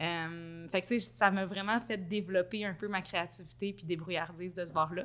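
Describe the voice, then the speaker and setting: Music plays in the background as a woman speaks at a medium pitch. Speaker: marketing and content director. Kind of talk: casual interview chat. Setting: boutique studio. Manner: fast; energetic.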